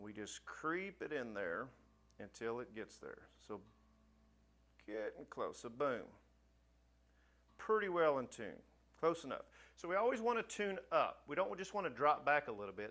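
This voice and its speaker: A man speaks at a fairly high pitch with vocal fry. His pitch swings very widely, and he takes long, frequent pauses. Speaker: music teacher. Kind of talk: tutorial. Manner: fast; casual.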